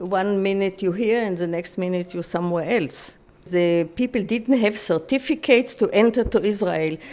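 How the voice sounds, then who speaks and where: At a moderate pace, a woman with a German accent speaks at medium pitch with ordinary pitch variation. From Free City of Danzig, then Mauritius camp. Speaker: Holocaust survivor. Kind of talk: testimony interview. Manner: halting.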